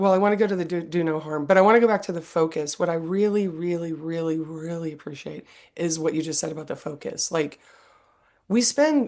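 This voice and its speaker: An ordinary speaking voice moves at a fairly quick pace against a quiet background. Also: woman. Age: 50s. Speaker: podcast host. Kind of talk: interview.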